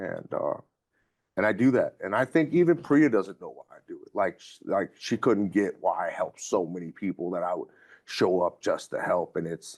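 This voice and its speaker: A man at a moderate pace, with big swings in loudness, a dry, close sound with no echo, and a quiet background. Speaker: community reentry manager, formerly incarcerated. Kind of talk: interview testimony. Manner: halting, many fillers and repetitions.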